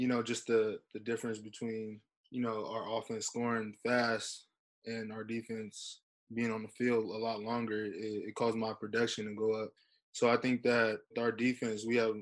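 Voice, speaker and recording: A man with an American accent speaks at medium pitch with monotone, flat intonation. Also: moderate pace, very clean recording, silent background. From San Diego, California. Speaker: college football player. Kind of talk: interview. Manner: halting, many fillers.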